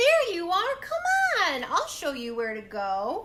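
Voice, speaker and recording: Putting on a character voice, a woman speaks at an extremely high pitch with very wide pitch swings. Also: fairly slow pace. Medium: read story. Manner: brisk, gushing.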